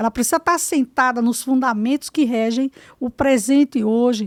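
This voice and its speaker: A woman speaks with a high pitch. The sound is dry and close with no echo, on a very clean recording with a silent background. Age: 60s. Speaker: education official and teacher. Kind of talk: podcast interview. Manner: emphatic, lecturing.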